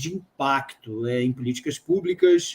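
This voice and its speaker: A man with a Brazilian accent at a very fast pace, with ordinary pitch variation. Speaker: live stream host and interpreter. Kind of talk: interpreting.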